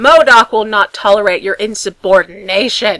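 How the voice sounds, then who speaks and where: At a moderate pace, a woman performs a shrill, put-on character voice in a medium pitch. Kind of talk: pompous, self-important. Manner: shrieking, indignant.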